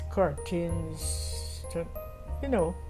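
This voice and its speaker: Music plays behind a woman who talks very slowly. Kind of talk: interview answer, reminiscing.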